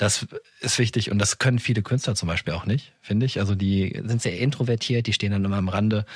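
This voice is somewhat breathy and moves at a fairly quick pace. Its intonation stays fairly even. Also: man. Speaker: podcast host. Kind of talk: interview.

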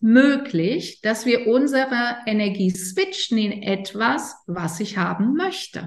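Speaking very slowly, a woman uses a fairly high, somewhat breathy voice. Her pitch swings very widely. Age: 50s. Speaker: yoga teacher and coach. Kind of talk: interview explaining yoga and chakras. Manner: hesitant, many fillers.

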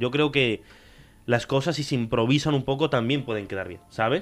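A man's a normal speaking voice moves along at a fairly quick pace, its pitch varying in an ordinary way. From Spain, raised from age four; born in Córdoba, Argentina. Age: 20s. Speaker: podcast host. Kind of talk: casual chat.

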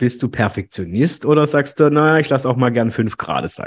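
This man talks at a moderate pace, his medium pitch showing ordinary pitch variation. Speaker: podcast host. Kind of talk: casual interview. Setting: video call.

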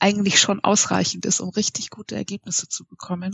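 A woman speaks with vocal fry. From Munich, Bavaria. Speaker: IT consultant. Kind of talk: interview. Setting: at home, remote call.

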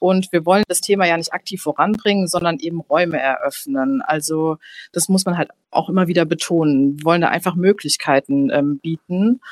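A woman speaks at a moderate pace in an ordinary speaking voice, fairly low in pitch with lively intonation. The sound is dry and close, with no echo. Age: 20s. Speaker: newspaper editor. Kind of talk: casual chat.

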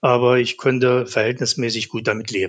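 A man with an unremarkable speaking voice, medium pitch, and a moderate pace. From eastern Germany, Saxony-Anhalt and Thuringia. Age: 60s. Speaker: asthma patient. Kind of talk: interview.

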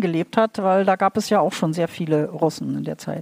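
Her speech moves along fairly quickly. The woman's pitch rises and falls in a normal way. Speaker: literary translator. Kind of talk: live interpretation. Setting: stage with audience. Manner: halting.

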